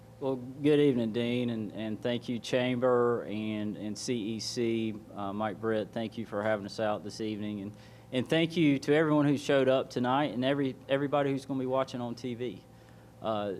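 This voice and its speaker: A man with a Southern US accent talks at a fairly quick pace with fairly even intonation. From US South, Georgia. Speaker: political candidate. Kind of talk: opening statement at candidate forum. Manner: halting.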